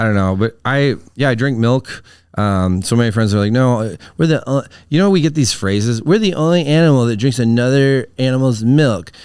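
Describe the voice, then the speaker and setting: With a Wisconsin accent, a man talks at a fairly quick pace in a medium pitch, his intonation lively and his loudness very even. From Wisconsin, US Midwest. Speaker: comedian. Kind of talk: casual chat. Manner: words mushed together.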